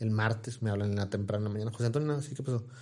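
Somewhat breathy and dark and mellow in tone, the voice moves at a very fast pace. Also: man. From Mexico, Ciudad Victoria, Tamaulipas. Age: 40s. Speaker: news portal founder and influencer. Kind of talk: casual interview.

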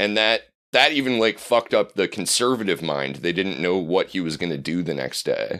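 With an American accent, the speaker uses lively intonation at a moderate pace on a very clean recording with a silent background. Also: man. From Nebraska, US Great Plains. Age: 30s. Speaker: podcast guest, podcaster. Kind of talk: casual chat.

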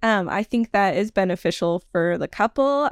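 Dry and close with no echo, a woman's plain, everyday voice at medium pitch carries lively intonation on a very clean recording with a silent background. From Nevada, US. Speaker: wedding venue consultant. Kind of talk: casual interview.

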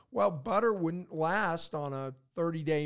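In a very clean recording with a silent background, a man talks in a high pitch. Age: 60s. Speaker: podcast host. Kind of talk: casual chat. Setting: studio.

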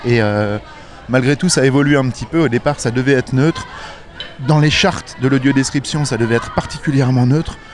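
A man talks fairly quickly in a fairly high pitch while noticeable background noise goes on behind him. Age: 40s. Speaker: audio describer. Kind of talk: interview. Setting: outdoors.

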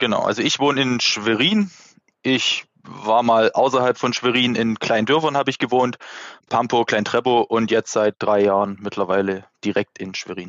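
This man has a Saxon accent and a medium pitch. He talks at a moderate pace with fairly even intonation. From Saxony, Dresden. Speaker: amateur ice hockey player. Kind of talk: casual chat.

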